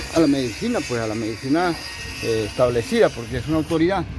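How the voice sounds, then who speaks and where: Amid noticeable background noise and audible room echo, a man speaks at a very fast pace and medium pitch. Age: 70s. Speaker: pastor. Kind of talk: sermon.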